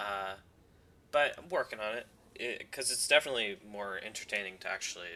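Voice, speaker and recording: A man's speech moves along at a moderate pace while noticeable background noise fills the recording. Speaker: video game commentator. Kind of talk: gameplay commentary. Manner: monotone; hesitant, many fillers.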